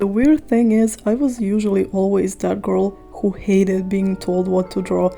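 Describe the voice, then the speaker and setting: A woman speaks at a moderate pace with ordinary pitch variation. Music plays in the background. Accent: non-native. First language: not English. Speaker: art YouTuber. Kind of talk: casual voiceover chat. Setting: home voiceover recording.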